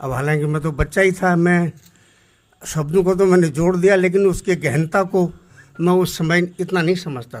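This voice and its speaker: His voice sits high for a man, and his intonation stays fairly even. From Almora district, Kumaon, Uttarakhand, India. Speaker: Kumaoni folk singer and poet. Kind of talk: talk to audience on stage. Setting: auditorium stage. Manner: simple, unpretentious.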